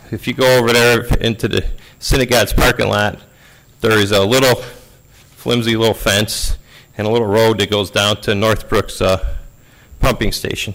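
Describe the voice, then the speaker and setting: A man's flat, monotone voice, broken by long and frequent pauses. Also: medium pitch for a man, moderate pace. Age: 60s. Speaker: resident speaking at public comment. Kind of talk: public comment at board meeting. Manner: halting, many fillers.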